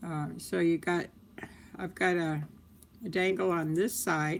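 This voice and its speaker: Her fairly low voice moving at a fairly slow pace, a woman speaks with fairly even intonation. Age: 60s. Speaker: crafts livestreamer. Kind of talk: live tutorial. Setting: live stream. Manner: casual, chatty.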